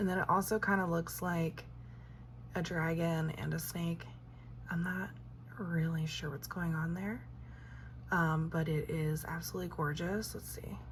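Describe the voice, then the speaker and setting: Audible room echo surrounds speech at a moderate pace, broken by long, frequent pauses. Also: woman. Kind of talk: casual unboxing vlog. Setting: at home. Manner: chatty, halting with fillers; whispering.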